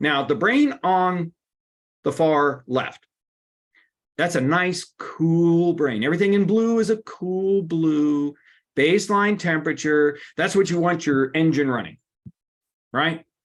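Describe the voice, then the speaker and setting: A man speaks at a very slow pace and high pitch, with long, frequent pauses and ordinary pitch variation. His loudness stays very even over a quiet background. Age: 60s. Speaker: workshop presenter on stress. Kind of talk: webinar presentation. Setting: online webinar. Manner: animated.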